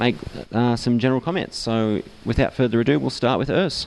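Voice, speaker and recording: With an Australian accent, a man speaks at a medium pitch and moderate pace with ordinary pitch variation. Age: young. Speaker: event moderator. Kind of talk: event introduction. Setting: pub with live audience.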